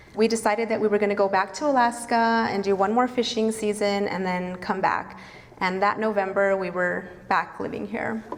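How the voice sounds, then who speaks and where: Her medium-pitched voice has fairly even intonation at a moderate pace. Noticeable background noise sits behind the woman. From northern New Mexico. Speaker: vegan cafe owner and activist. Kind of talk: storytelling talk to an audience. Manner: casual, conversational.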